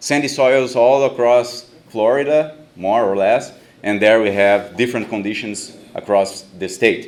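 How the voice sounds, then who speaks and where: In a Brazilian Portuguese accent, a man speaks at medium pitch and a moderate pace, with ordinary pitch variation. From southern Brazil, Rio Grande do Sul. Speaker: professor. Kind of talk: conference talk. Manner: halting.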